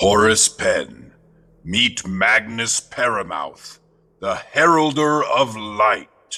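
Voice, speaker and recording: A man puts on a character voice at a medium pitch, speaking at a very slow pace. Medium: audio drama. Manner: knowing, teasing.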